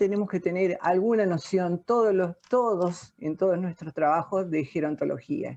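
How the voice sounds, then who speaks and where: Against a quiet background, a woman speaks at a medium pitch in a dark, mellow tone, with ordinary pitch variation at a moderate pace. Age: 60s. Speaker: audience participant, works in older adults services. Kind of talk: question from audience in video talk. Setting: video call. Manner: halting.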